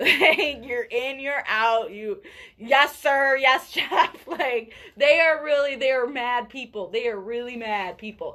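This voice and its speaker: A woman speaks in a raised, projected voice at a high pitch. Her pace is very slow. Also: ordinary pitch variation. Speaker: radio podcast co-host. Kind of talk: casual chat. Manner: loud.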